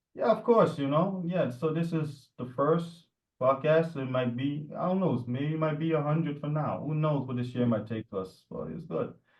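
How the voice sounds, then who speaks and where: Somewhat breathy, this voice moves at a moderate pace with ordinary pitch variation and hardly any pauses. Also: man, fairly high pitch for a man. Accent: New York. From New York (Jamaica Queens). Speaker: podcast co-host. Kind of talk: casual chat. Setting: remote call at night.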